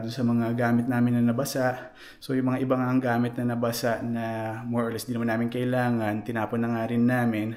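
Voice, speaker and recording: A soft-spoken man talks very fast in a monotone, flat delivery at medium pitch. Room echo is audible. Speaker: vlogger. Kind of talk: casual vlog. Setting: basement at home.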